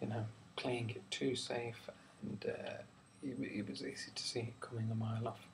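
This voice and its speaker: A man speaks softly. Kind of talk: ASMR film review talk. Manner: soft-spoken; relaxed, simple.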